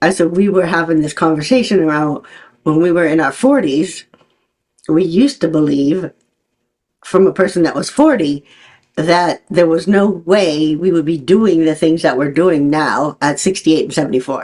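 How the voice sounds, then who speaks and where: The voice is an unremarkable speaking voice. It moves at a moderate pace with ordinary pitch variation. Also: woman, fairly low pitch for a woman. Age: 60s. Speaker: podcast host. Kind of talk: interview conversation.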